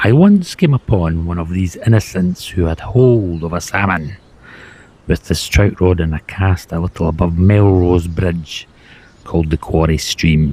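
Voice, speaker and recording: A man in a Scottish accent talks at a fairly slow pace with a very deep, low pitch. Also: ordinary pitch variation. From Scotland. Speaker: former river bailiff. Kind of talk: reading aloud from a book.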